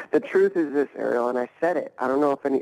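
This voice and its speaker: A man speaks very fast in a dry, close sound with no echo. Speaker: fighter and coach. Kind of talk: casual interview. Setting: video call.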